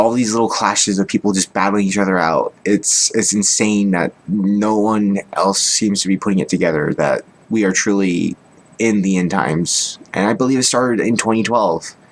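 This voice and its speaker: The speaker is a man with a fairly low pitch. His loudness stays very even. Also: moderate pace. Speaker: vlogger sharing personal beliefs. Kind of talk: monologue to camera. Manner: monotone; low-key, not dynamic.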